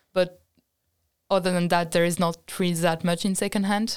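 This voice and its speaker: Speaking with a French accent, a woman uses a fairly low pitch and monotone, flat intonation. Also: very clean recording, silent background. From France. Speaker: design student. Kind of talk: casual chat.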